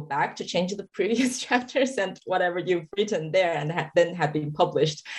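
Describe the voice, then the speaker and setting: The speaker has a Chinese accent, ordinary pitch variation, and big swings in loudness. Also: woman. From China, Sichuan. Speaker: novelist. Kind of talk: interview conversation.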